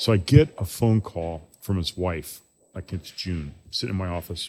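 In a very clean recording with a silent background, a man with a very deep, low pitch and a somewhat breathy voice speaks at a moderate pace with ordinary pitch variation. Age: 60s. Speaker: brewery owner and brewer. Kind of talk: casual chat. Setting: brewery.

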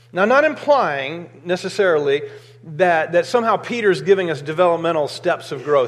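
Noticeable background noise sits under a man with an American accent who speaks at a high pitch. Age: 50s. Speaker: pastor. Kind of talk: sermon. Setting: church.

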